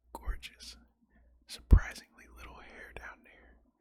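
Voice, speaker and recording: Someone whispers here. The pace is moderate. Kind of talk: reading stage directions aloud. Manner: whispered.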